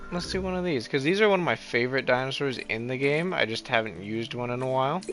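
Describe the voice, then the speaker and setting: A man talks at a very fast pace with lively intonation and medium pitch. Noticeable background noise runs underneath. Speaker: video game streamer. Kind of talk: live gameplay commentary. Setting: live stream. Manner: casual, thinking aloud.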